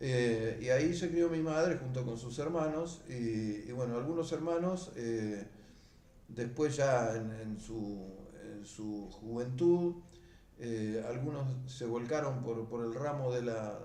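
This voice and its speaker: A man speaks very slowly in a space with audible room echo and noticeable background noise. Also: medium pitch for a man, ordinary pitch variation. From Argentina, Buenos Aires province (Mar del Plata area). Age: 70s. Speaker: beekeeper. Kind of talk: oral history interview. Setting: at home. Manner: hesitant, many fillers and repetitions.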